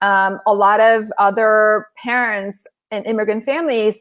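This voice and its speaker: The speech is very slow, in a Korean accent. It is a very clean recording with a silent background. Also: woman. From South Korea and Southern California. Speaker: author and former corporate lawyer. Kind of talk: interview on a live stream.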